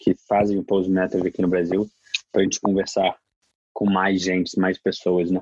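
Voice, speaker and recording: A very fast man's voice in a Brazilian accent, very deep and low, with monotone, flat intonation. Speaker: podcast host. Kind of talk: live interpreting.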